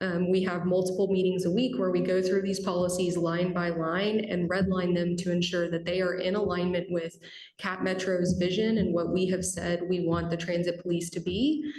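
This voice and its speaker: A woman speaks with hardly any pauses, very even loudness and monotone, flat intonation, amid noticeable background noise and audible room echo. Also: medium pitch for a woman. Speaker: transit agency staff presenter. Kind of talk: public meeting presentation. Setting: committee meeting boardroom. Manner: fast.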